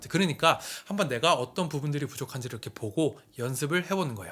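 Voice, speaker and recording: Very wide pitch swings mark a man's very fast speech. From Korea, part of childhood in US. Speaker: YouTuber, creator coach. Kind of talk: tutorial.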